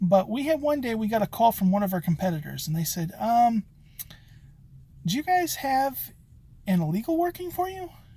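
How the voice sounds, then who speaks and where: A man talks at a fairly quick pace with lively intonation. His tone is dark and mellow. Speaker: locksmith and business owner. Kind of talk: vlog monologue. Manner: casual with many fillers.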